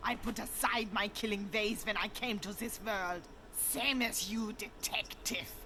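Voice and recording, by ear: A cartoonish character voice, female-sounding and fairly high-pitched, moves at a moderate pace over clear background noise.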